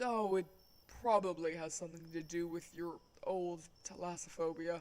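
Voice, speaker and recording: The speaker uses a put-on character voice at a middle pitch and a moderate pace. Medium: audio drama. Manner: polite, soft-spoken, dryly humorous.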